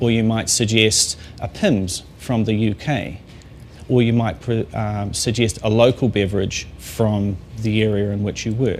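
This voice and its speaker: Pitched fairly low, the man talks at a fairly slow rate. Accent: New Zealand. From New Zealand. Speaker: master sommelier. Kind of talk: talk to an audience. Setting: talk to a company audience.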